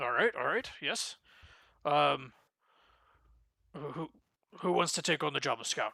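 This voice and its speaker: A raspy, put-on character voice at a low-to-middle pitch, with long, frequent pauses. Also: moderate pace. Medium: actual play. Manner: hesitant, fumbling formal speech.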